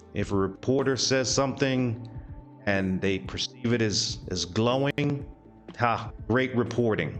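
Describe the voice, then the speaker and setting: Music plays behind a man speaking. He goes very slowly, with ordinary pitch variation. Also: medium pitch for a man. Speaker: VTuber news commentary host. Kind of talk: comedic news commentary to camera.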